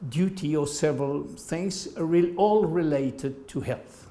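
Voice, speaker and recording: Through audible room echo, a man with a French accent speaks very slowly in a dark, mellow tone with ordinary pitch variation. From France. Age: 70s. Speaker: medical doctor and patient. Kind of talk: interview. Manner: halting.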